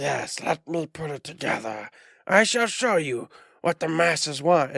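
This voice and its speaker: Putting on a character voice, a man speaks fairly high at a moderate pace. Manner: menacing, grandiose.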